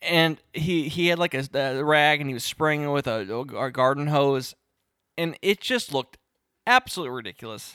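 A man mumbles at a moderate pace with a fairly high pitch. The recording is very clean, with a silent background. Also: ordinary pitch variation. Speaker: podcast co-host. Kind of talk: casual chat. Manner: mumbling.

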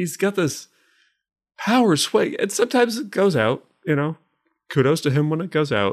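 A man with an American accent speaks at a moderate pace in a high voice, with very wide pitch swings and long, frequent pauses. The recording is very clean, with a silent background. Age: 30s. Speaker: podcast co-host. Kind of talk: casual chat.

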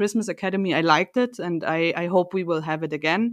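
The background is quiet and the sound is dry and close, with no echo. A woman speaks at a moderate pace in a fairly low voice. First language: German. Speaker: company podcast co-host. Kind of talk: casual chat.

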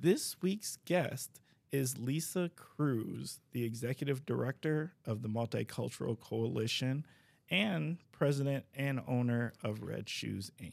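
On a very clean recording with a silent background, a man has a normal speaking voice at medium pitch. He talks at a fairly slow pace with lively intonation. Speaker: podcast host, city DEI coordinator. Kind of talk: interview podcast, casual conversation.

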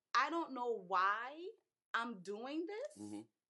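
An American accent marks this woman's raised, projected voice, which has a bright, sharp tone and very wide pitch swings. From US South, Charleston, South Carolina. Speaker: marriage ministry host, wife. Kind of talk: casual live stream chat with personal testimony. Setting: online live stream.

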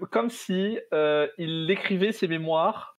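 A man's high-pitched voice at a very slow pace. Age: 20s. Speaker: business school student and game creator. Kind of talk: casual chat.

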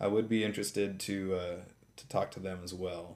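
Using an unremarkable speaking voice with an American accent, a man talks at a fairly low pitch with ordinary pitch variation. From San Francisco, California. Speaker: podcast host and hemp farmer. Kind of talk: interview, casual chat. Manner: frequent filler words, uh and um.

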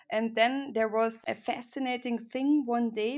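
This woman talks at a very slow pace with a fairly high pitch, in an Austrian accent. The recording is very clean, with a silent background. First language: German. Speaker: startup CEO, former journalist. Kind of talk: casual interview.

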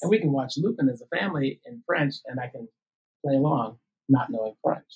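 A man with an American accent, at a fairly high pitch and a fairly quick pace, somewhat breathy, with very wide pitch swings and big swings in loudness. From Minnesota. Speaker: teacher.

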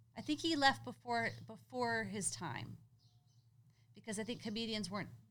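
Audible room echo around a woman talking at a moderate speed. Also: long, frequent pauses. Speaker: podcast co-host. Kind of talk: casual chat. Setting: home garage. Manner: animated, laughing often.

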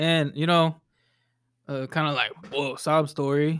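A plain, everyday voice at a moderate pace. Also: man. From Texas, Dallas area. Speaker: DJ and producer. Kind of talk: casual interview.

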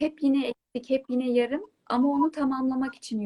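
A woman speaks at a moderate pace in a high voice, recorded dry and close with no echo. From Turkey, Hatay (İskenderun, Payas). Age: 30s. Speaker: writer. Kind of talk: interview on a live online talk show.

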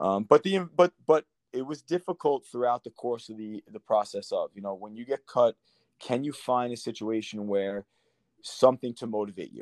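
A man with an American accent uses a plain, everyday voice at a medium pitch, with ordinary pitch variation and big swings in loudness, on a very clean recording with a silent background and a dry, close sound with no echo. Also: moderate pace. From Long Island, New York. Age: 30s. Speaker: former professional soccer player. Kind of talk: casual interview.

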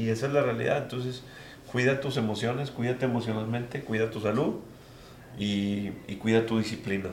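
Over noticeable background noise and audible room echo, a man speaks at a fairly quick pace in a medium-pitched voice with fairly even intonation. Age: 30s. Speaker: real estate developer. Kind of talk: interview. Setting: office.

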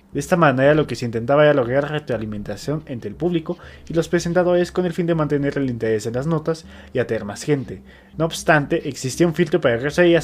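Very fast and fairly high-pitched, a man talks with ordinary pitch variation. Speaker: podcast co-host. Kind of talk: reading aloud; casual chat.

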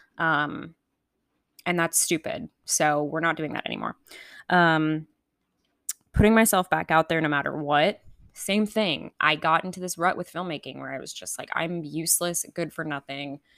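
In a very clean, dry, close recording with a silent background and no echo, a woman with an American accent speaks at a moderate pace, her very deep, low voice held to fairly even intonation. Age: 20s. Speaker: podcast host. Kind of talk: casual solo chat. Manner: casual, filler-heavy.

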